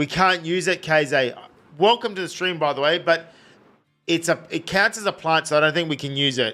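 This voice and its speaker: A high-pitched man talks at a fairly quick pace with an Australian accent while music plays in the background. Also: ordinary pitch variation. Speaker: video game streamer. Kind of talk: live gameplay stream chat. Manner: casual, rambling.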